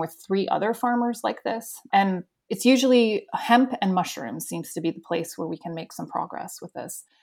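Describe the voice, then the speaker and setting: Using an ordinary speaking voice with an American accent, a woman talks at a moderate pace with hardly any pauses, at a medium pitch with ordinary pitch variation and big swings in loudness. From US South (Florida), partly Spain. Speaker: animal welfare charity leader. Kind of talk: interview.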